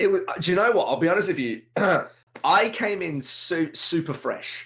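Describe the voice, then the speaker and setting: With an energetic tone and a British accent, a man talks at a moderate pace. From UK. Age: 20s. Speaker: video game streamer. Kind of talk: podcast interview.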